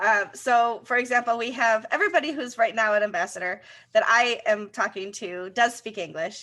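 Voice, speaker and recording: A woman with a Rochester accent, a fairly high pitch, ordinary pitch variation, a bright, sharp tone and a moderate pace. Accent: Rochester broad A. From US, Rochester, New York. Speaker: co-host, community relations. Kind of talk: casual chat.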